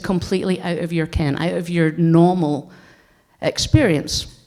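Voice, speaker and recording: With a northeastern Scottish accent, a woman speaks fairly slowly in a dark, mellow tone. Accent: Scottish, north-east (Doric). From Scotland, Aberdeenshire. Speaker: game designer and heritage researcher. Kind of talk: conference talk.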